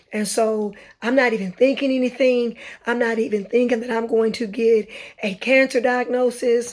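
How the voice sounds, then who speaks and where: A woman talks in a high pitch at a moderate pace. Her delivery is monotone and flat. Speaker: vlogger and cancer survivor. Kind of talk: personal testimony. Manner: halting, many fillers.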